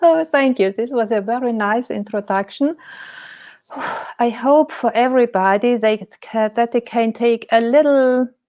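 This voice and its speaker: At a fairly slow pace, a woman with a German accent speaks in a fairly high pitch. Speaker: painter and life coach. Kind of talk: interview. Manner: hesitant.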